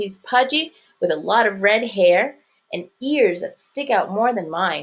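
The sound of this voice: The intonation is lively in this unforced reading voice. Behind it, all is quiet.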